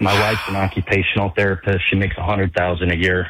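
Fast and low-pitched, a man speaks with a fairly bright tone and little pitch movement.

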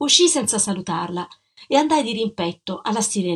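Lively intonation runs through a natural reading voice. The background is quiet.

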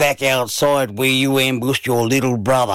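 Simply an unforced reading voice

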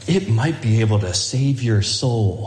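A man speaks in a put-on character voice at a fairly slow pace, his pitch medium, with a slight echo.

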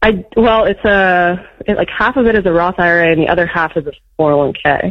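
Her pitch fairly low, a woman talks at a fairly quick pace with fairly even intonation.

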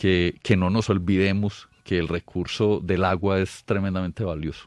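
A man speaks at a fairly slow pace in a low voice with a slightly mellow tone and fairly even intonation, on a very clean recording with a silent background.

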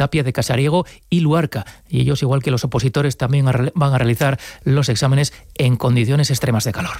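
A man talks at a fairly quick pace in a medium pitch. His tone is slightly mellow.

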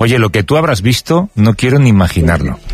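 A man talks at a fairly quick pace in a fairly low voice. His pitch swings widely.

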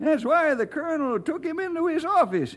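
Putting on a character voice, a man speaks at a moderate pace with extremely high pitch, big pitch swings and a fairly bright tone.

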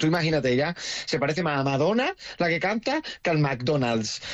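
With an Andalusian accent, this man talks at a moderate pace in a fairly high pitch that takes big swings.

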